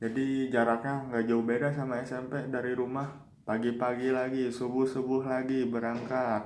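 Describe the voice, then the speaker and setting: With hardly any pauses, a man talks at a moderate pace in a medium pitch and monotone, flat intonation, with audible room echo. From West Java (Bandung area), born in Yogyakarta. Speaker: university student. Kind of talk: personal life story for a class assignment. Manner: casual, conversational.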